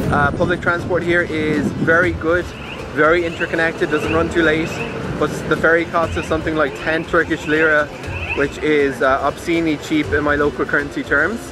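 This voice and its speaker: A man talks at a moderate pace. Noticeable background noise sits under a dry sound with no echo. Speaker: travel vlogger. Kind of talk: casual vlog chat. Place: street. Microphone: phone near.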